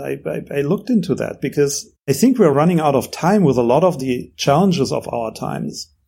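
The speaker has a German accent and a fairly quick pace. The intonation is lively. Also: man. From Germany. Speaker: entrepreneur. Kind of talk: interview.

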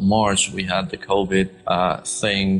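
The speaker has a Spanish accent. The delivery is fairly slow. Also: man. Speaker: architect and podcast host. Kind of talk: interview. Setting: live-streamed studio show. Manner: hesitant, many fillers.

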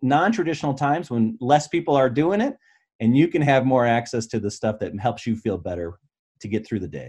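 In a quiet background, a man with an American accent speaks in a dark, mellow tone with lively intonation. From Michigan. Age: 40s. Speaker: business broker and coach. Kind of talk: interview conversation.

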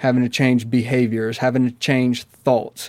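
In a dry, close sound with no echo, a man with a Southern US accent speaks at a medium pitch in a monotone, flat intonation. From US South, Mississippi. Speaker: addiction counselor. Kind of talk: interview.

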